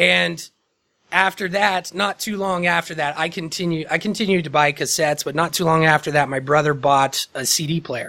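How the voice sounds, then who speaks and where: A man with a fairly high pitch and a bright, sharp tone talks at a moderate pace. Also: ordinary pitch variation. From Indiana, small town near Muncie. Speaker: podcast host. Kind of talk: casual chat.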